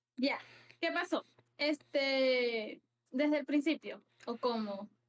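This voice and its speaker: A woman speaks at a very slow pace with a high pitch and ordinary pitch variation. The sound is dry and close, with no echo. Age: 20s. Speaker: streamer. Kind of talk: interview. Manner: halting.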